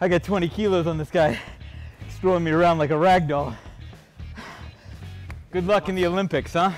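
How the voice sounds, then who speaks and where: Faint music plays in the background as a man with a high pitch speaks at a fairly quick pace with fairly even intonation. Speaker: travel show host. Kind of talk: casual on-location chat. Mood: playful, joking. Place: gym.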